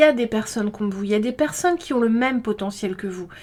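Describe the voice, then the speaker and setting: The woman's intonation is lively. She talks at a fairly quick pace. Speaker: tarot card reader. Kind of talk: intuitive card reading guidance. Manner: hesitant, many fillers.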